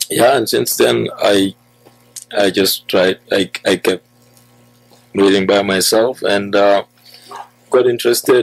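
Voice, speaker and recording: Very slow speech at a very even loudness, with long, frequent pauses and a dry sound with no echo. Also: man. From The Gambia. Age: young. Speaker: food manufacturing entrepreneur; guest. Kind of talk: interview. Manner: hesitant with fillers. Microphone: studio mic.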